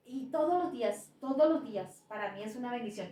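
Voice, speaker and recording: The speaker has a Bogotá accent and lively intonation at a moderate pace. Audible room echo is present. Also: woman. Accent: Bogotá Colombian Spanish. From Bogotá, Colombia. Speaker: pastor. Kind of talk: testimony. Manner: repeats words, slight hesitations.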